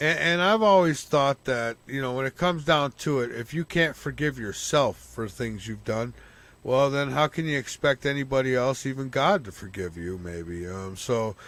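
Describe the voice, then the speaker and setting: The recording is very clean with a silent background as a man talks using lively intonation. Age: 50s. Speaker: radio talk show host. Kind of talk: casual interview chat.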